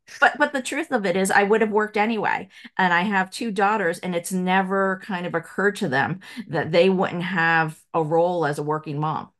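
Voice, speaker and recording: A woman talks with a plain, everyday voice and ordinary pitch variation. The background is quiet. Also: medium pitch for a woman. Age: 50s. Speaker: business consultant, former lawyer. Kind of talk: casual interview.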